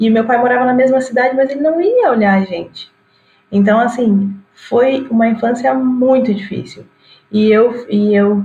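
A woman speaks in a plain, everyday voice, fairly high in pitch, at a moderate pace. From Rio Grande do Sul, Brazil. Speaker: digital influencer and physics teacher. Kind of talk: casual chat.

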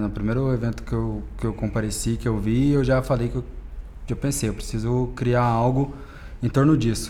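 Audible room echo surrounds a man's voice. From Minas Gerais, Brazil (Uberlândia). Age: 20s. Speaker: DJ. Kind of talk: casual interview.

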